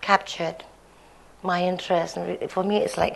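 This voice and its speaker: At a moderate pace, a woman talks with vocal fry. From Indonesia and Hong Kong, Chinese-Indonesian family. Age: 50s. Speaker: textile artist. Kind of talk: conference talk. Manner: halting, many fillers.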